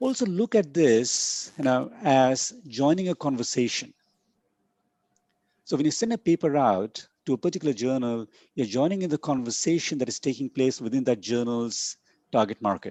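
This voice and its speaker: A man speaks with lively intonation and a non-native accent. His pitch is medium and his pace moderate. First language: not English. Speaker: conference keynote speaker on academic publishing. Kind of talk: lecture. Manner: halting with many fillers and repetitions.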